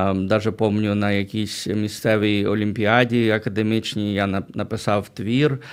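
In a very clean recording with a silent background, a man speaks at a fairly slow pace in a flat monotone. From Ukraine, Berdychiv (Zhytomyr region). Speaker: pastor, mission leader. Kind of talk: radio interview. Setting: radio studio.

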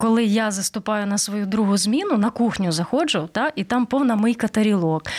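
A woman's fairly high pitch in a normal speaking voice, at a moderate pace with ordinary pitch variation and a dry, close sound with no echo. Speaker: radio host. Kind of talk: radio interview. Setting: radio studio.

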